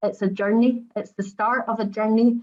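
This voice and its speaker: Speaking at a fairly quick pace with a Scottish accent, a woman sounds somewhat breathy, with a dark, mellow tone and monotone, flat intonation. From Scotland. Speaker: pharmacy regulator director. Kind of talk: webinar presentation. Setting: online webinar. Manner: fast.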